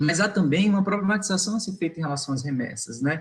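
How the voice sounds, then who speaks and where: This voice belongs to a man. Its pitch rises and falls in a normal way. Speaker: migration researcher. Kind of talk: online academic talk. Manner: hesitant fillers.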